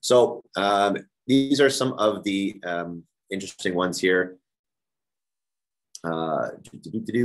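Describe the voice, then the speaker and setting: A man's fairly low-pitched voice with ordinary pitch variation. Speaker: real estate broker leading agent training. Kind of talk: team meeting presentation. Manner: fast.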